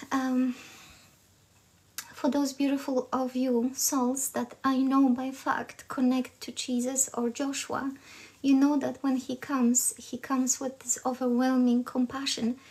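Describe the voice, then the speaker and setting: Against noticeable background noise, a woman speaks at a fairly slow pace with a high pitch and a monotone, flat intonation. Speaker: spiritual channeler. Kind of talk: live stream spiritual transmission. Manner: halting.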